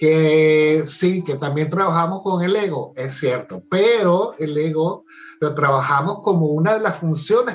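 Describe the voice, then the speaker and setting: With an animated tone and a fairly high pitch, a man talks with hardly any pauses and ordinary pitch variation over noticeable background noise. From Venezuela (Caracas). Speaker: life coach and theatre director. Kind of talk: interview conversation. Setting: at home, remote call.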